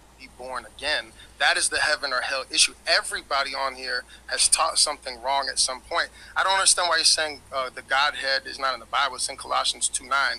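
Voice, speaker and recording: A man talks at a fairly quick pace with big swings in loudness. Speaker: debate panelist; panelist. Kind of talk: heated debate. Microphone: video call.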